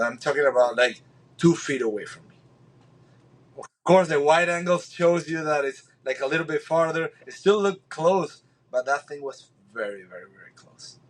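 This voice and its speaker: A man speaks with a Spanish accent at a fairly high pitch and a moderate pace. His pitch varies in an ordinary way, while his loudness swings widely. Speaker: spearfisherman. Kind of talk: podcast interview. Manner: halting, many repeated words.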